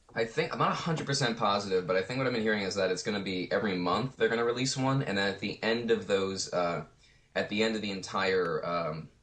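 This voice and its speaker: A man speaks at a very fast pace with a fairly low pitch and ordinary pitch variation. Noticeable background noise runs behind him. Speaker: voice actor. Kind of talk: interview answer, casual talk. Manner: casual, conversational.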